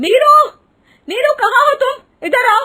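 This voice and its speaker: Shouting in a put-on character voice, a woman sounds squeaky at an extremely high pitch. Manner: angry, shouting.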